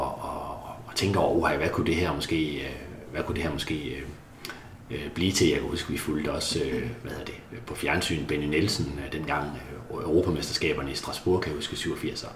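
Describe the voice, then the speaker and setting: A man's very deep, low voice at a moderate pace with ordinary pitch variation, amid noticeable background noise and audible room echo. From central Jutland, Denmark. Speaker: Paralympic swimmer. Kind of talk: interview conversation. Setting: apartment. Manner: halting, many fillers.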